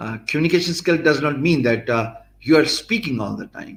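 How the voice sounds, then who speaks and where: A man's fairly high voice in a Pakistani accent, with lively intonation at a moderate pace. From Pakistan, Punjab. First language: Punjabi or Urdu. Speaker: blogger and youtuber teaching business skills. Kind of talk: live-streamed lecture. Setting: live stream. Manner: hesitant, many fillers.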